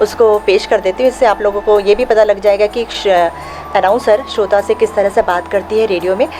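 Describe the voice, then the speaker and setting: Music plays in the background as a woman of medium pitch speaks at a moderate pace. Her intonation is fairly even and her loudness very even. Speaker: radio announcer; radio drama artist. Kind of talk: interview answer.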